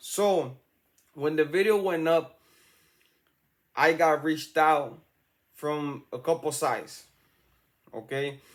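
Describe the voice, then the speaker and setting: A man with a strong Salvadoran accent speaks at a fairly high pitch and a very slow pace. His intonation is fairly even, with long, frequent pauses. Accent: thick Salvadoran. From El Salvador. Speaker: YouTube true-crime commentator. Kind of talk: casual commentary. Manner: slow, deliberate.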